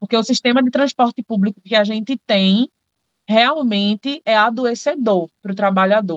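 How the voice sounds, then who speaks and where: The voice is an ordinary speaking voice with lively intonation at a moderate pace, in a dry, close sound with no echo. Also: woman. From Brazil, Paulista (Pernambuco). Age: 20s. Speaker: architect and community activist. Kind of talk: interview.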